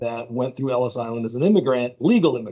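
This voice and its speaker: This is a man with an American accent and a plain, everyday voice. His pitch is medium with ordinary variation. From United States. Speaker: insurance company president. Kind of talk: podcast interview.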